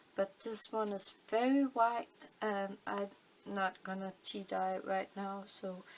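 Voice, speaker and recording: A woman with a Danish accent, medium pitch, fairly even intonation and a very slow pace. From Denmark. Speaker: crafting video maker. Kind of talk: tutorial. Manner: halting, many fillers.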